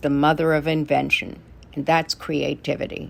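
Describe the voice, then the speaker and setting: In a very clean recording with a silent background, a woman speaks at a moderate pace with vocal fry. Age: 80s+. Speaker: actress and filmmaker. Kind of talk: prepared segment statement.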